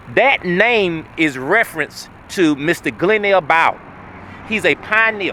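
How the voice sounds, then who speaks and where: Over noticeable background noise, a man with a high voice speaks at a fairly slow pace in an animated tone, his intonation lively and his loudness very even. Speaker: local historian and community developer. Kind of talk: documentary tour narration.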